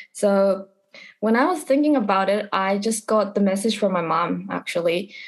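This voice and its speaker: A woman with a Japanese accent, medium pitch, ordinary pitch variation, very even loudness and a moderate pace. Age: 20s. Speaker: college student. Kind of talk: casual interview.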